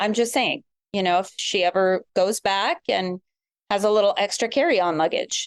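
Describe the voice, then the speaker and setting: An ordinary speaking voice, this woman talks fairly slowly at medium pitch with an American accent, ordinary pitch variation and a dry, close sound with no echo. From US West Coast, San Francisco Bay Area. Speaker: podcast guest. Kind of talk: casual chat.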